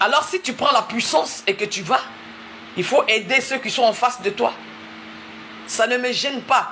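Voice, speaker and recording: Speaking at a fairly slow pace with an Ivorian accent, a woman with a high pitch uses ordinary pitch variation against noticeable background noise. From Ivory Coast. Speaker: preacher. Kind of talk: sermon. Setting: livestream. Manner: repetitive, emphatic.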